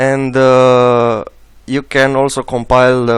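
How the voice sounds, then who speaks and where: Speaking at a very slow pace, this man has a medium-pitched voice. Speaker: software tutorial maker. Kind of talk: tutorial. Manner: halting, many filler sounds.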